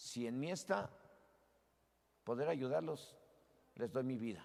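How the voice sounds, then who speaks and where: In an ordinary speaking voice, a man talks at a fairly slow pace with lively intonation and a medium pitch. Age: 60s. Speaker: pastor. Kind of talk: sermon.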